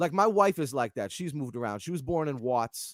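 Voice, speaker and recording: In a New England accent, a man speaks at a moderate pace. His fairly high pitch swings very widely. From Massachusetts and New Hampshire (Lawrence, north of Boston). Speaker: keyboardist, music director. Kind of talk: casual interview chat.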